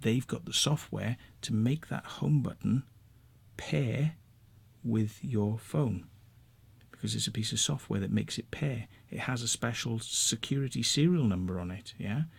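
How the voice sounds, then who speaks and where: A man with a Welsh accent speaks at a moderate pace with vocal fry, lively intonation, and long, frequent pauses. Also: medium pitch for a man. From Wales. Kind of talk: rant to camera. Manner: casual, conversational.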